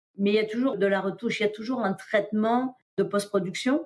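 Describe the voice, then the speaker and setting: An ordinary speaking voice moves at a moderate speed. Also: woman. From France. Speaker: diver, explorer and underwater filmmaker. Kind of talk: podcast interview answer.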